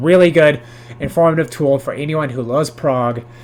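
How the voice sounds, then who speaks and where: Noticeable background noise beneath speech of ordinary pitch variation. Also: man. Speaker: music video creator. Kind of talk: casual educational monologue. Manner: filler-heavy, hesitant.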